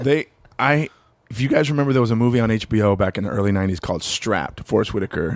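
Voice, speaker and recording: In an American accent, a man with a medium pitch speaks at a very fast pace with lively intonation. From Long Beach, California. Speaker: comedian. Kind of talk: casual chat.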